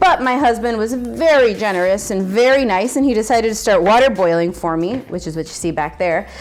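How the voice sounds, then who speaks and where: Over noticeable background noise, a woman talks at a fairly quick pace and a fairly high pitch in an animated tone. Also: lively intonation, hardly any pauses. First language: Spanish. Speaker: cooking channel host. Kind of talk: cooking tutorial.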